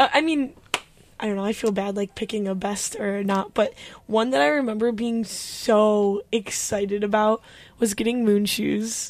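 A woman with a normal speaking voice talks at a moderate pace, her pitch fairly high. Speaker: college radio host. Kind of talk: casual chat.

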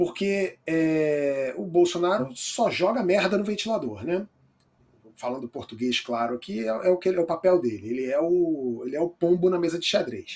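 A man's high voice carries lively intonation. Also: moderate pace. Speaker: talk show host. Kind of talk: live political talk show.

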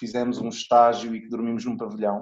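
A man's dark, mellow tone comes through as he talks at a moderate pace. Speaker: guest's son, former youth rugby player. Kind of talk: interview.

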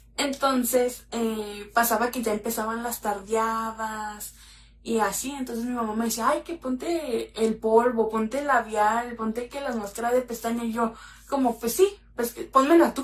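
A woman's plain, everyday voice, fairly high in pitch, at a fairly slow pace with fairly even intonation. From Mexico, Mexicali (Baja California). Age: 20s. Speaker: makeup content creator. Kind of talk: casual interview chat.

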